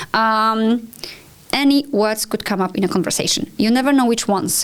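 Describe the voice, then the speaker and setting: A woman with a Polish accent and a fairly high pitch, ordinary pitch variation and a moderate pace, over noticeable background noise. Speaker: language school owner. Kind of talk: podcast conversation.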